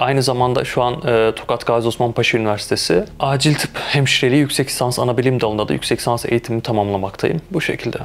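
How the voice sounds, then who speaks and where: Over noticeable background noise, a man with a medium pitch talks at a very fast pace with hardly any pauses. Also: ordinary pitch variation, very even loudness. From Turkey, Malatya. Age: 20s. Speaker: intensive care nurse. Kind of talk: interview testimony.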